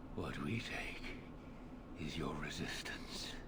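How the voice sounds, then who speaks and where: A put-on character voice comes through over loud background noise. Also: man. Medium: video game. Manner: measured, formal, calm.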